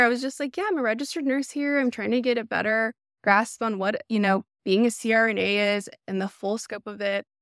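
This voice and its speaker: A woman with a Texan accent at a fairly high pitch and fairly quick pace, in a dry, close sound with no echo. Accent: Texan Southern US. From Texas. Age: 30s. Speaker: ICU nurse applying to nurse anesthesia school. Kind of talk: casual interview. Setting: remote video call. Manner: chatty; animated.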